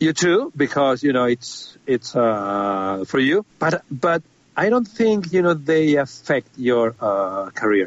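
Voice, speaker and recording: Speaking very slowly in a Spanish accent, a man uses a fairly high voice with very wide pitch swings and very even loudness. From Spain. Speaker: film composer. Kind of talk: interview. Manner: halting.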